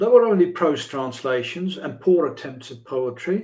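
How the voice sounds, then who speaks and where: A man's high voice with lively intonation and a Dutch accent. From Netherlands. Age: old. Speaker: poet and translator. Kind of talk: interview. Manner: halting, many fillers and repetitions.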